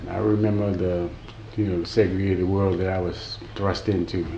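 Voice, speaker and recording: Speaking at a fairly quick pace with an American accent, a man with a very deep, low pitch is heard over audible room echo. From Houston, Texas, then Watts, Los Angeles. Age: 60s. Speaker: interviewee, former activist. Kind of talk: oral history interview. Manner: halting, many repetitions.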